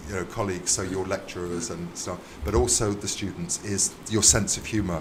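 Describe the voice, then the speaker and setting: In a British accent, a man with a very deep, low pitch speaks at a fairly quick pace with fairly even intonation, with audible room echo. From UK. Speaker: visiting university lecturer. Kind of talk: casual chat. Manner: hesitant, many fillers.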